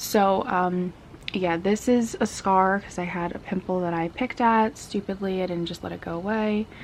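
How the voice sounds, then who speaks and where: Quiet and at a moderate pace, a woman speaks with fairly even intonation at a medium pitch. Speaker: beauty vlogger. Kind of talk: casual product review vlog. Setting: at home. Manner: talking quietly; casual, filler-heavy.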